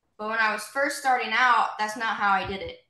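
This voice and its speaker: A woman with an American accent and a fairly high pitch, with audible room echo. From southern Indiana, US. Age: 20s. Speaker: former college softball player. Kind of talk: interview.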